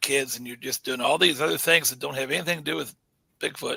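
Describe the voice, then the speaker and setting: This is a man speaking. He has an American accent. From US Midwest (St. Louis area, Missouri). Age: 60s. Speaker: bigfoot researcher. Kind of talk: podcast interview. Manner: calm; halting, many fillers.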